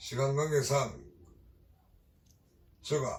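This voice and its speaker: Somewhat breathy and fairly high-pitched, a man's voice carries the speech. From Gyeongsang region, South Korea. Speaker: Buddhist exorcist priest. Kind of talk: dharma talk. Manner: hesitant fillers.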